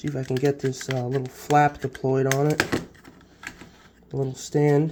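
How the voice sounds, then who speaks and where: The voice is monotone, with flat intonation, at a moderate pace. Noticeable background noise runs underneath. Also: man. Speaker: inventor demonstrating device. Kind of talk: tutorial demonstration. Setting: farm field and kitchen. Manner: halting.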